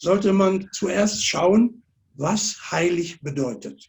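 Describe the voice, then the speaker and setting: Here a man speaks at a very slow pace. His pitch is high. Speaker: preacher. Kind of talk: sermon. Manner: measured, pausing for interpreter.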